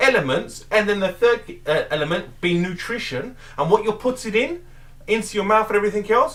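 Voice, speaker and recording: Loud and animated, a man with a high pitch talks at a fairly quick pace. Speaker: weight loss vlogger. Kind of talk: motivational rant.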